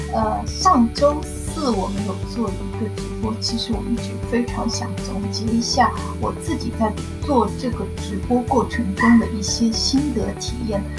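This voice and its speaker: Clear music plays in the background while a woman speaks at a fairly slow pace. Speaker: novice livestream host. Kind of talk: casual talk to camera. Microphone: webcam.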